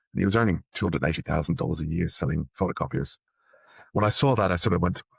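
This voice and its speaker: A man speaks very fast in a very deep, low voice with vocal fry and lively intonation. The recording is very clean with a silent background, dry and close with no echo, and his loudness stays very even. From Ireland, Dublin. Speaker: technology executive. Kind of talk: interview. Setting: podcast.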